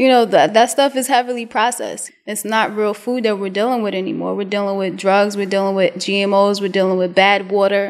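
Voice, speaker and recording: Talking at a fairly quick pace, a woman with a New York accent leaves hardly any pauses. Her pitch sits in the medium range. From US Northeast, Brooklyn, New York. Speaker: vegan chef. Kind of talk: interview. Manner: casual.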